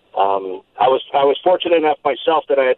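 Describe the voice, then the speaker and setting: Talking at a fairly quick pace, a man with an American accent has a medium pitch and an ordinary speaking voice. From Colorado. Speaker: caller. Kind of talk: call-in. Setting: phone call.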